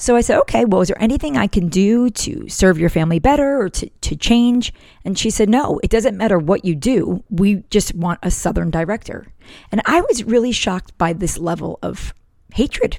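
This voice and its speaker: An ordinary speaking voice in an American accent moves at a moderate pace with lively intonation. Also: woman, medium pitch for a woman. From northern US. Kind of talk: devotional talk.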